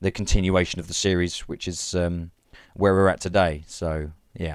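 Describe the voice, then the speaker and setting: In a very clean recording with a silent background, a man with an Essex accent speaks at a very deep, low pitch. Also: dry, close sound with no echo. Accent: southern English (Essex). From England (Leigh-on-Sea, Essex). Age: 20s. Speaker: amateur machinima filmmaker. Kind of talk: interview. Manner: hesitant, many fillers.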